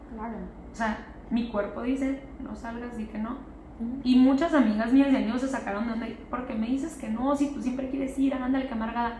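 Amid audible room echo and noticeable background noise, a woman with a high pitch talks at a fairly quick pace with fairly even intonation. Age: 20s. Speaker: podcast guest sharing personal healing experience. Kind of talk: casual chat.

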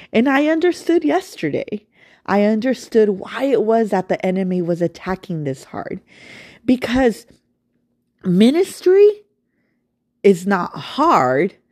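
With a warm, animated tone, a fairly high-pitched woman speaks at a fairly slow pace, leaving long, frequent pauses. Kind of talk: devotional talk with prayer. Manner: warm, animated, conversational.

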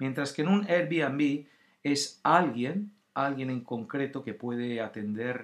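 Recorded very cleanly against a silent background, a man speaks very slowly at a fairly high pitch. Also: ordinary pitch variation. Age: 50s. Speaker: podcast host, former actor. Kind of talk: casual solo talk. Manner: hesitant, filler-heavy.

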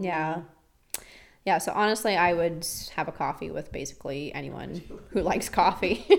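A woman with a fairly low pitch and vocal fry speaks at a moderate pace with ordinary pitch variation and long, frequent pauses. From rural Ontario, Canada. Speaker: barista. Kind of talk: casual chat.

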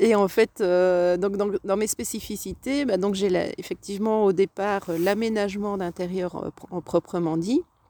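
A woman talks at a fairly slow pace with hardly any pauses, her medium-pitched voice dark and mellow with fairly even intonation, on a very clean recording with a silent background. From Belgium, Tournai (Hainaut). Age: 40s. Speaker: interior designer. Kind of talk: casual interview chat. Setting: outdoors in a garden.

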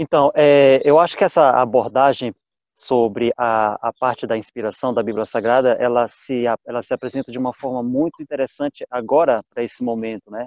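In a normal speaking voice, a man talks at a moderate pace with medium pitch and fairly even intonation, the sound dry and close with no echo. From Brazil, Pará state. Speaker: Bible study participant, agrarian sciences. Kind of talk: Bible study discussion.

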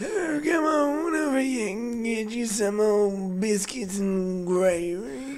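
A man's put-on character voice, high-pitched and very slow. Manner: folksy, homey.

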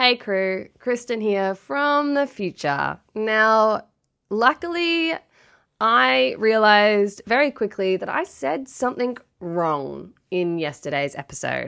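Against a quiet background, a woman with an Australian accent speaks very slowly in a fairly high, bright, sharp voice that swings very widely in pitch. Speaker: podcast co-host, researcher. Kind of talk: casual chat.

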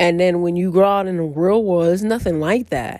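A woman speaks at a fairly low pitch. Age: 20s. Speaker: podcast host. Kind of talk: casual solo monologue. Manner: halting, many fillers and repeats.

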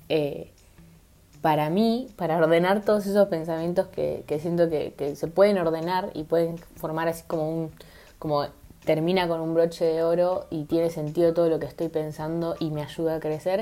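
Intonation stays fairly even in a dark, mellow tone. The delivery moves at a moderate speed. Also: woman, fairly low pitch for a woman. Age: 20s. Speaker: podcaster. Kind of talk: solo monologue podcast. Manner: halting, many fillers.

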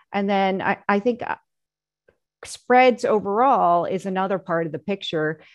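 This is a woman with an ordinary speaking voice, pitched at a medium level with ordinary pitch variation. She talks at a moderate pace over a quiet background. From US, Korean American household. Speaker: bond portfolio manager. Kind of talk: panel discussion.

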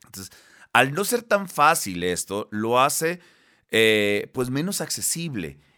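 Very slowly, a man speaks with a bright, sharp tone, very wide pitch swings and big swings in loudness in a very clean recording with a silent background. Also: medium pitch for a man. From Mexico, Baja California Sur. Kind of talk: interview.

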